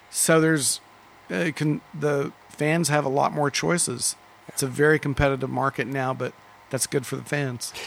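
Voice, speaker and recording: An unremarkable speaking voice, a man with an American accent at a fairly high pitch, moderate pace and ordinary pitch variation. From Dallas, Texas. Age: 50s. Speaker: record store owner. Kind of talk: casual interview. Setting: record store.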